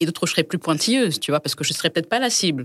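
A woman's voice in a very clean recording with a silent background and a dry, close sound without echo. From Congo. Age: young. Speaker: home textile brand founder. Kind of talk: casual chat. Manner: halting.

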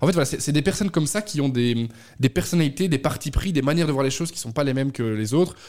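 Pitched fairly high, a man speaks at a very fast pace. His pitch variation is ordinary. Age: 20s. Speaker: communications agency head. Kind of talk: radio interview.

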